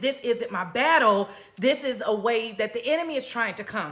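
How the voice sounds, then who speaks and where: A woman speaks in a fairly high voice. Noticeable background noise runs behind her. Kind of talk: sermon-style exhortation.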